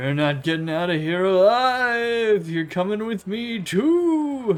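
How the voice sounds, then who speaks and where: In a put-on character voice, high for a man, a man talks at a fairly slow pace. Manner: menacing, threatening.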